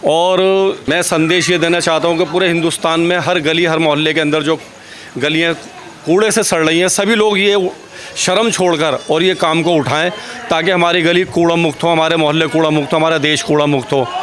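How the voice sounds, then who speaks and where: Against noticeable background noise, a man with a high voice speaks with fairly even intonation and very even loudness. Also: moderate pace. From Old Delhi, India. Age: 60s. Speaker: volunteer street cleaner. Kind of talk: interview.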